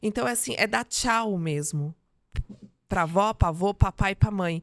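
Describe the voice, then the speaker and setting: Heard on a very clean recording with a silent background, a woman uses a normal speaking voice at a medium pitch, talking at a fairly slow pace with lively intonation. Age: 40s. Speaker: mentor and speaker. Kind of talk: interview.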